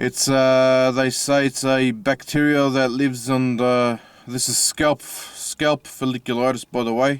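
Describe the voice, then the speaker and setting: A man at medium pitch speaks at a fairly slow pace in a monotone, flat intonation, with a dry, close sound with no echo on a very clean recording with a silent background. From Australia. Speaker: video blogger sharing personal health experience. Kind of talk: personal testimony vlog. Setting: in a car. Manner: halting, many fillers.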